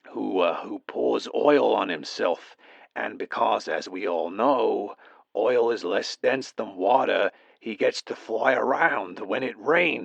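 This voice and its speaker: Someone puts on a raspy character voice. The delivery is fairly slow. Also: man. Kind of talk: comedic voicemail monologue. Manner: hesitant, halting.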